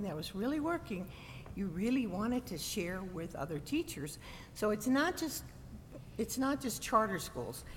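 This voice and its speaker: The voice moves at a fairly slow pace with vocal fry. Its pitch swings very widely. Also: woman. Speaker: state board of education member. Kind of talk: board meeting discussion.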